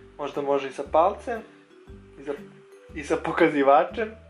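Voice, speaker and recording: A man's fairly high-pitched voice over background music. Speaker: amateur voiceover narrator. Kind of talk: improvised humorous voiceover of makeup tutorial. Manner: hesitant, joking.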